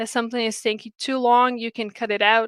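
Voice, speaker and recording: A woman's fairly high voice with a Portuguese accent. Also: dry, close sound with no echo, very clean recording, silent background. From Brazil. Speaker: game producer / project management speaker. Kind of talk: lecture. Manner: halting, many fillers and repetitions.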